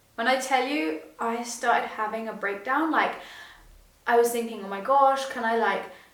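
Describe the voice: Strong room echo fills this recording of a woman. Her voice is fairly high in pitch and fairly bright in tone, with ordinary pitch variation. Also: moderate pace.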